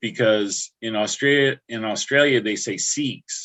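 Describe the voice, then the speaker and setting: This man talks at a very slow pace with an American accent. His pitch varies in an ordinary way. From upstate New York (Albany area, Catskills). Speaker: livestream host. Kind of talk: casual chat. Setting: livestream.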